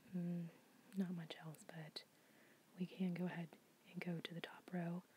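A soft-spoken, somewhat breathy woman with a calm tone, a fairly low pitch and a moderate pace. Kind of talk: ASMR soft-spoken puzzle solving, casual talk to camera. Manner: soft-spoken, calm, relaxing.

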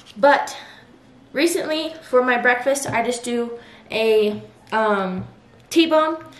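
Light background noise and audible room echo surround a woman whose pitch varies in an ordinary way. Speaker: lifestyle vlogger. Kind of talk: casual vlog chat. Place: kitchen. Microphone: camera far.

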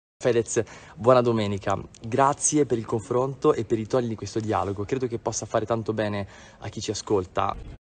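A man talks at a fairly quick pace with fairly even intonation. Light background noise can be heard. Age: 20s. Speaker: priest. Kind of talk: video message. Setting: parish youth centre. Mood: calm, conciliatory. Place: open country. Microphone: phone near.

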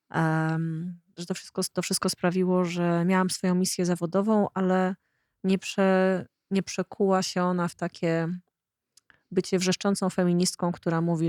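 A woman's fairly low voice at a moderate pace, monotone and flat, in a very clean recording with a silent background and a dry, close sound with no echo. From Poland, rural. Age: 40s. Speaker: podcast host. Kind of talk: casual interview conversation.

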